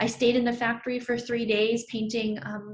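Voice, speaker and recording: A woman talks with an American accent at a moderate pace. Her pitch sits fairly high. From New York (Brooklyn). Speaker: artist. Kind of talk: artist talk presenting own work. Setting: virtual talk. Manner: conversational with frequent fillers.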